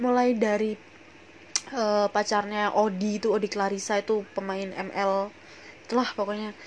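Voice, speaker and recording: With a strong Javanese accent, a woman speaks at a moderate pace in a fairly high pitch. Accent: strong Javanese-tinged Indonesian. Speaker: podcast host. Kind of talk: casual solo podcast chat.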